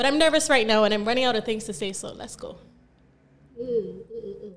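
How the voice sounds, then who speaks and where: With audible room echo, a woman speaks in an animated tone at a very fast pace, showing big swings in loudness and ordinary pitch variation. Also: fairly high pitch for a woman. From Barbados. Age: 20s. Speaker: podcast host. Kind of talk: casual chat.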